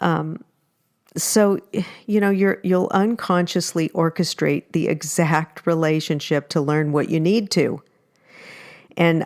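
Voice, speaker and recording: A woman with a fairly low pitch talks at a moderate pace in a normal speaking voice, the sound dry and close with no echo. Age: 60s. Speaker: podcast host, matchmaker and relationship coach. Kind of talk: solo podcast talk. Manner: casual, with frequent fillers and restarts.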